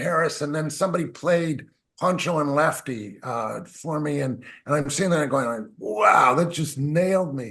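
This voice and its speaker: Moderate pace and ordinary pitch variation from a man pitched fairly high. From Canada. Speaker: musician. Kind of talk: interview. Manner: animated.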